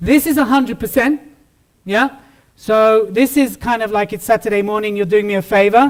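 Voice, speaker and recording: With a British accent, a man speaks in an energetic tone at a high pitch, his pitch varying in an ordinary way. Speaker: business consultant and public speaker. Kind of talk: keynote speech. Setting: stage with audience. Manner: fast.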